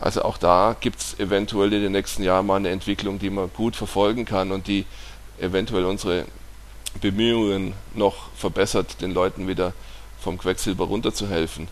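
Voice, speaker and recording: The speaker is a man with a very deep, low pitch. His intonation stays flat and monotone. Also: moderate pace. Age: 40s. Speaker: naturopath. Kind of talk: podcast monologue.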